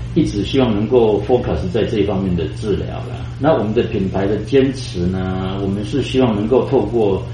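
A man with a fairly low pitch and very wide pitch swings talks with hardly any pauses. Audible room echo and noticeable background noise fill the recording. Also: moderate pace. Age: 60s. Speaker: ophthalmologist, clinic director. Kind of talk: interview. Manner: halting.

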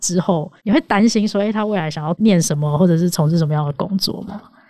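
A woman speaks at a fairly quick pace with fairly low pitch and a dark, mellow tone. Her pitch varies in an ordinary way. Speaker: podcast co-host, debater. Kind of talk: casual chat.

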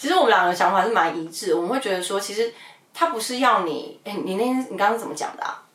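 There is noticeable background noise. A woman talks over it. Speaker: podcast host, former wedding host. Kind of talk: casual chat. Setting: Instagram livestream.

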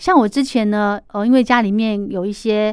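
A woman with a Taiwanese accent, medium in pitch and fairly quick in pace, on a very clean recording with a silent background. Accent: Taiwanese Mandarin. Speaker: podcast host. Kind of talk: casual interview chat.

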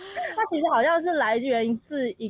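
A woman speaks at a very slow pace with very wide pitch swings. The sound is dry and close with no echo, but background noise is noticeable. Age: 20s. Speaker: college student and dancer. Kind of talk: casual chat.

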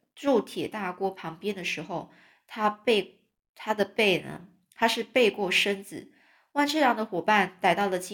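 Over a quiet background, the text is read aloud in a natural voice whose pitch varies in an ordinary way.

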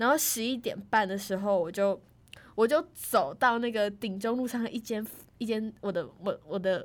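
In a very clean recording with a silent background, a woman with a normal speaking voice and fairly high pitch talks at a moderate pace with ordinary pitch variation. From Taiwan, Tainan. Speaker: university student. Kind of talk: casual chat.

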